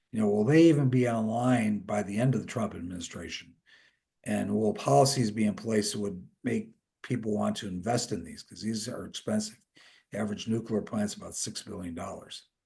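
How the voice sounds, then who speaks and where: A somewhat breathy man's voice, fairly low in pitch with ordinary variation, dark and mellow in tone, at a fairly quick pace with big swings in loudness. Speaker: industry analyst. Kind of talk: webinar presentation. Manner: fast.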